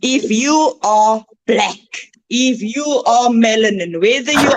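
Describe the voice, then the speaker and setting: The voice belongs to a woman. She uses ordinary pitch variation. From South Africa, Cape Flats. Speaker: guest speaker. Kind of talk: impassioned speech. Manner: emphatic.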